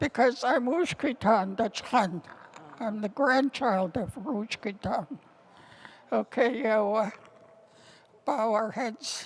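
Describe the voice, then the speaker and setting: A woman speaks at a very slow pace, with long, frequent pauses. Her pitch is fairly high, with ordinary pitch variation. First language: Tlingit. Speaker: Tlingit elder and language teacher. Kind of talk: ceremonial speech and closing prayer. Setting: indoor ceremony with audience.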